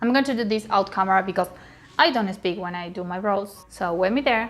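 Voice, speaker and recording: A woman speaks with a Spanish accent. Her pace is fairly quick. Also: medium pitch for a woman, ordinary pitch variation. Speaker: beauty youtuber. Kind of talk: makeup tutorial. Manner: halting, with frequent fillers.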